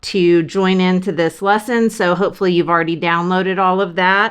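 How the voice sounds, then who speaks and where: Her pitch sits in the medium range. The woman is heard against a quiet background. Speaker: art tutorial creator. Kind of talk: tutorial.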